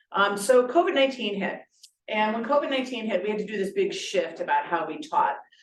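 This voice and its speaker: Loud and fairly quick, a woman talks at a fairly high pitch with very wide pitch swings. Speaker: high school teacher. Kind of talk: presentation at a meeting. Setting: conference room, also streamed on Zoom. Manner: loud, projecting.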